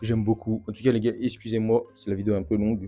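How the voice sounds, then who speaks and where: Music plays in the background while a man at medium pitch talks at a very fast pace. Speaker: youtuber. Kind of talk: unboxing video. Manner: animated.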